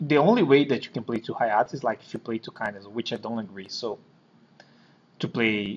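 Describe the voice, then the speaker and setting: A man with a Brazilian Portuguese accent speaks at a medium pitch with ordinary pitch variation. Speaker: card game player. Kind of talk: deck profile explanation. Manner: halting, hesitant.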